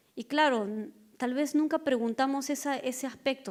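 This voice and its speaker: A woman speaks with a high pitch. Her intonation is fairly even. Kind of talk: panel talk.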